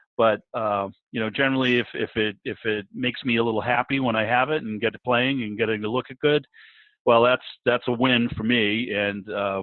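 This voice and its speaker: A man with a plain, everyday voice and medium pitch, fairly even intonation, at a fairly quick pace. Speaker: club host moderating the meeting. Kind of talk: casual conversation on a video call.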